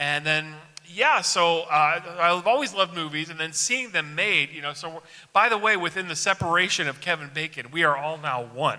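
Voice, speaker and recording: Noticeable background noise accompanies a man with a fairly high pitch, ordinary pitch variation, a moderate pace and big swings in loudness. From Illinois, Chicago area (Joliet). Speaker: film festival director. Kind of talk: casual interview. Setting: studio with audience. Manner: halting.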